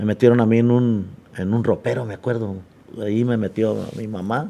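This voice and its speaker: A man talks with fairly even intonation in a dark, mellow tone. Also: medium pitch for a man, moderate pace. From Mexico, Manzanillo, Colima. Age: 70s. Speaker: sports figure and teacher. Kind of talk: podcast interview.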